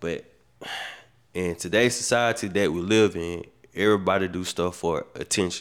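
A man with a very deep, low voice speaks at a moderate pace with fairly even intonation. Long, frequent pauses break up his speech in a very clean recording with a silent background. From US South, Macon, Georgia. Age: 30s. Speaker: podcast co-host. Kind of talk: casual chat.

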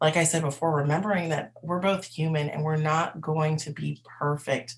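This woman's voice is very deep and low, and somewhat breathy. Her intonation stays fairly even. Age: 20s. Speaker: podcast host and life coach. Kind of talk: casual personal monologue. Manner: hesitant, with filler words.

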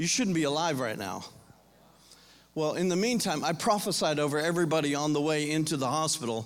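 Lively intonation and a fairly quick pace mark this voice in an American accent, heard with audible room echo. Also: man, fairly high pitch for a man. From US South, Florida. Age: 50s. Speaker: pastor. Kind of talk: sermon.

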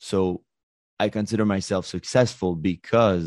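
A man with a Quebec accent, fairly low in pitch and fairly even in intonation, at a fairly slow pace, in a dry, close sound with no echo and a quiet background. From Quebec, Montreal. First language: French. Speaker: life coach. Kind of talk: interview. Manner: halting.

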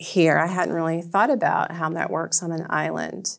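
An ordinary speaking voice from a woman with an American accent, fairly low in pitch and fairly even in intonation, at a moderate pace on a very clean recording with a silent background. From US South, northwest Georgia. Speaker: library director. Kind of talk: interview. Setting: studio.

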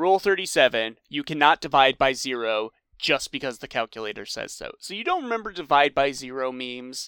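In a very clean recording with a silent background and a dry, close sound with no echo, a man with a fairly high pitch and a bright, sharp tone talks at a fairly quick pace, with lively intonation and big swings in loudness. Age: 20s. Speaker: podcast co-host. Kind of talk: casual chat.

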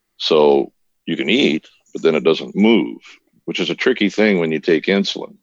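A man with an American accent and a very deep, low pitch, vocal fry, lively intonation and a moderate pace, in a dry, close sound with no echo. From Minnesota. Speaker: nutrition health coach. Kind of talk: casual interview.

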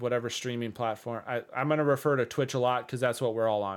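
With an Upper Midwest accent, a man talks at a medium pitch and ordinary pitch variation. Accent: Upper Midwest American. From Minnesota, US. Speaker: streamer and developer, podcast co-host. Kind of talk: casual chat. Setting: video call.

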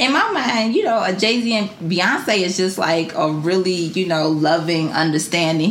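Noticeable background noise and an audible room echo are both present. A woman speaks at a moderate speed. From Detroit, Michigan, US. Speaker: entrepreneur and brand founder. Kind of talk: casual interview chat.

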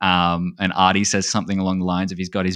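Over a very clean recording with a silent background, a man with an Australian accent speaks at a fairly low pitch in a bright, sharp tone. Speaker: speedrunner and streamer. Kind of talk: casual chat.

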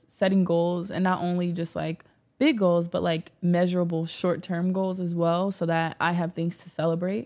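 Fairly low in pitch, a woman's voice has a dark, mellow tone and monotone, flat intonation. The recording is very clean with a silent background. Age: 20s. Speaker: activist. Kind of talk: casual chat. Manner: hesitant, many fillers.

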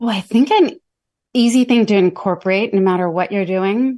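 This woman talks at a fairly quick pace in a dark, mellow tone. Her pitch sits in the medium range and varies in an ordinary way. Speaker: executive communications coach. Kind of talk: podcast interview. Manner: articulate, conversational.

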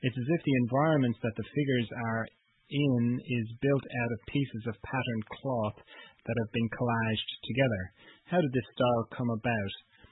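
A man with an Irish accent, fairly even intonation and a moderate pace. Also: medium pitch for a man. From Ireland. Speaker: podcast host. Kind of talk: interview.

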